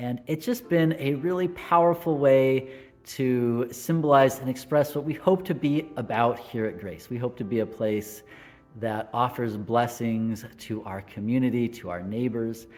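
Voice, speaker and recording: Over background music, a man with an American accent speaks at a fairly slow pace and medium pitch, with ordinary pitch variation. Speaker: Lutheran pastor. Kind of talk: devotional talk to camera.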